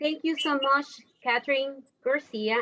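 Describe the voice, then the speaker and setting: A woman speaks with a non-native accent at a fairly slow pace. Her tone is bright and sharp, her intonation fairly even. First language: not English. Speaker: forum moderator. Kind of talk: event moderation.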